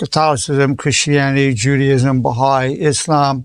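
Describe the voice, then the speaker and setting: Speaking very slowly with fairly even intonation, a man talks in an American accent. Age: 80s+. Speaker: clinical psychologist. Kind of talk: inspirational lecture.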